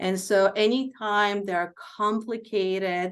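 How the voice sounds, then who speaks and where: A non-native accent over a quiet background. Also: woman. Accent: foreign accent, milder than before. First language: not English. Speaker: healthcare executive and physician. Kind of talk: Q&A talk.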